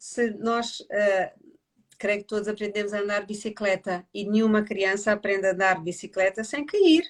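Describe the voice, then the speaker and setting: Her pitch fairly high, a woman in an unremarkable speaking voice talks at a moderate pace with fairly even intonation. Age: 60s. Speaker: family constellations therapist. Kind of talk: casual livestream conversation. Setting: online live stream.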